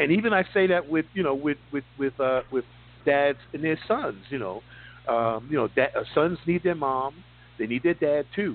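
Using a plain, everyday voice, a man speaks at a moderate pace with a fairly high pitch and lively intonation. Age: 60s. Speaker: finance radio host. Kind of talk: casual interview chat.

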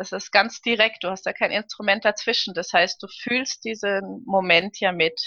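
A plain, everyday voice moves at a moderate pace with hardly any pauses. The intonation stays fairly even. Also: woman, medium pitch for a woman. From Karlsruhe, Germany. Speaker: opera and concert singer. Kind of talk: casual interview.

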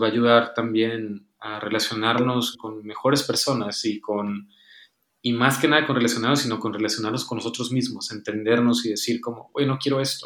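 Moderate speed, fairly even intonation, and a plain, everyday voice. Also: man. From Tijuana, northern Mexico. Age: 20s. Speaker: writer and psychologist. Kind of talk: casual chat.

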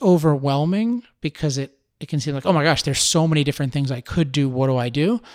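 On a very clean recording with a silent background and a dry, close sound with no echo, a man talks very fast at a fairly high pitch with ordinary pitch variation. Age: 30s. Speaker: podcast host and author. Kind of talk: solo podcast monologue. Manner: halting, with frequent fillers and restarts.

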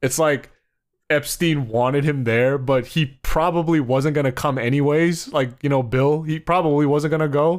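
On a very clean recording with a silent background, a man with an American accent uses an ordinary speaking voice at a fairly high pitch, talking at a moderate pace with very even loudness and fairly even intonation. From US Northeast, New Jersey. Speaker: podcast co-host. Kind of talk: casual chat.

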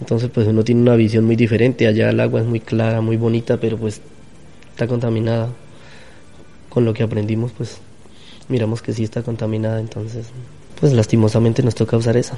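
Very fast but broken by long, frequent pauses, a man's medium-pitched voice runs in a monotone, flat intonation. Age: 30s. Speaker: farmer. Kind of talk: interview testimony.

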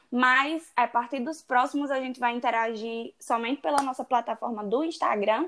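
A woman with a high-pitched voice and ordinary pitch variation speaks at a moderate pace with hardly any pauses over a quiet background. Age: 20s. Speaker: podcast co-host, law student. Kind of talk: casual chat.

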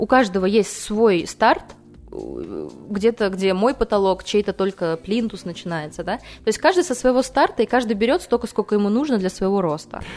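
With noticeable background noise behind her, a woman of medium pitch speaks in an animated tone with lively intonation at a moderate pace. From Kaliningrad region, Russia. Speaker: marketer and personal growth project lead. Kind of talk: casual interview. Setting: radio studio.

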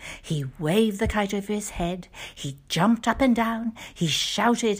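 The recording captures a text being read aloud plainly.

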